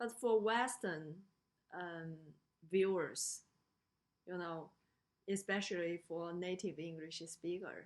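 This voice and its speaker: At a very slow pace with long, frequent pauses, a woman speaks in a fairly low voice with a Chinese accent and ordinary pitch variation. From China. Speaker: lecturer. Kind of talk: lecture. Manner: halting, many fillers.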